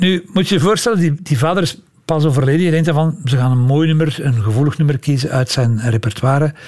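A man with a fairly high, somewhat breathy voice talks at a very fast pace, with very even loudness and ordinary pitch variation. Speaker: music historian and podcast storyteller. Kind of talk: storytelling conversation. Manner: animated, laughing at times.

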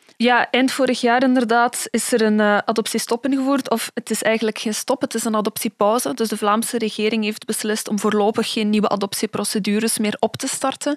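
A woman with an unremarkable speaking voice, fairly high in pitch, at a fairly quick pace with hardly any pauses and fairly even intonation, in a dry, close sound with no echo. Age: 20s. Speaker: historian and researcher. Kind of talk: expert interview explanation.

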